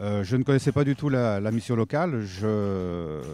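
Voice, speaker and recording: A man speaks at a fairly low pitch with lively intonation. His pace is moderate, with music in the background. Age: 60s. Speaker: retired petrochemical worker, volunteer mentor. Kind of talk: interview testimony. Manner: halting, many hesitations.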